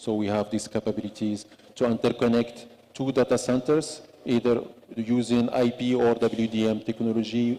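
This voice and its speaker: In a monotone, flat delivery, a man talks at a moderate pace with a medium pitch. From Morocco. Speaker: telecom industry executive. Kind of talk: panel discussion. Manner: halting.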